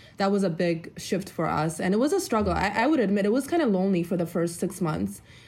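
A woman speaks at a very fast pace with hardly any pauses. Vocal fry runs through her voice. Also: medium pitch for a woman, ordinary pitch variation, very even loudness. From Ethiopia, raised in US Midwest from age nine. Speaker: debt-free couple guest. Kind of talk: interview. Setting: video call.

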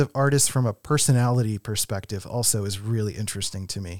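A man with an American accent and an ordinary speaking voice, lively intonation at a fairly quick pace, dry and close with no echo, on a very clean recording with a silent background. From Philadelphia. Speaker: podcast co-host, graphic designer. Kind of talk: casual chat. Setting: studio.

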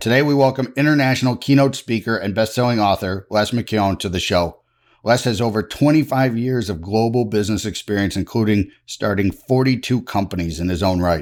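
On a very clean recording with a silent background, a man speaks in a plain, everyday voice, fairly low in pitch with ordinary pitch variation. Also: fairly quick pace. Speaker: podcast host. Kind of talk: interview.

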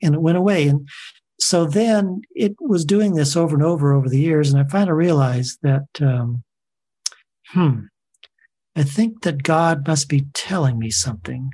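A man with an American accent speaks at a moderate pace in a fairly high, somewhat breathy voice of dark, mellow tone, with ordinary pitch variation and very even loudness. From Southern California. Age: 60s. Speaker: long-distance hiker. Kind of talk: interview.

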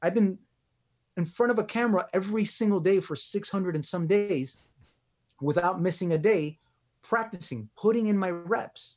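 In a very clean recording with a silent background, a man with a Miami accent speaks at a high pitch and a moderate pace. He leaves long, frequent pauses and uses ordinary pitch variation. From Miami, Florida. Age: 30s. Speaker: relationship coach and physical therapist. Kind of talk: interview conversation.

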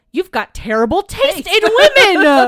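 At a moderate pace, a put-on character voice runs at an extremely high pitch with very wide pitch swings. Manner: kindly, teasing.

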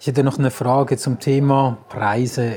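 Somewhat breathy speech is heard. Its tone is dark and mellow. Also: man. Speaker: sales trainer and podcast host. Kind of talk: interview. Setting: on location at an event venue.

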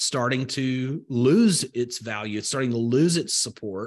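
A man with a Southern US accent speaks at a fairly slow pace and a fairly high pitch. His intonation is lively, and the background is quiet. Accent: Southern US, slow vowels. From rural Alabama, US South. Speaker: crypto investor and entrepreneur. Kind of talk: casual interview.

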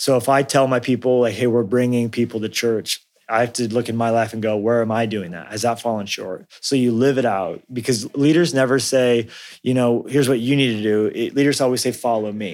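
A man with a General American accent speaks fairly quickly in an unremarkable speaking voice at medium pitch with fairly even intonation. The recording is very clean, with a silent background. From US Southwest (Colorado, New Mexico). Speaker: pastor and author. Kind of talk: interview.

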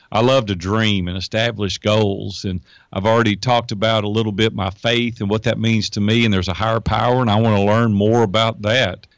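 A man with a Tennessee accent talks at a fairly quick pace in a fairly low voice, hardly pausing, on a very clean recording with a silent background. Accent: Tennessee Southern US. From US South, Nashville, Tennessee. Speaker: entrepreneur and life coach. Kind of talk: interview. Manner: animated.

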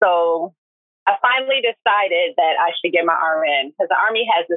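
Speaking at a moderate pace, a woman has an ordinary speaking voice with a fairly low pitch and ordinary pitch variation. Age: 40s. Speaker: retired army nurse. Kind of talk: casual chat.

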